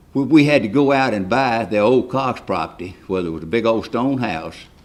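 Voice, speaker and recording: This man uses a medium pitch and talks at a fairly quick pace. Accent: West Tennessee. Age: 80s+. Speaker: local resident, former county official. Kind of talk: public comment at town meeting. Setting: public meeting hall. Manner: halting, repetitive.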